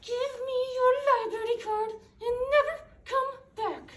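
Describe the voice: A female-sounding, put-on character voice at an extremely high pitch talks at a fairly slow pace.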